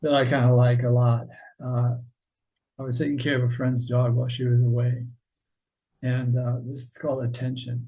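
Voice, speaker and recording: A man speaks at a medium pitch and a moderate pace, with monotone, flat intonation and long, frequent pauses. His voice is somewhat breathy, with a dark, mellow tone. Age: 70s. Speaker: author and artist. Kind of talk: casual interview chat. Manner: halting, many fillers.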